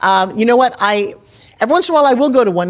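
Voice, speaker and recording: A woman talks at a very fast pace. Her intonation is lively and her tone animated. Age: 60s. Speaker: infomercial host and pitch coach. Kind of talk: casual interview chat.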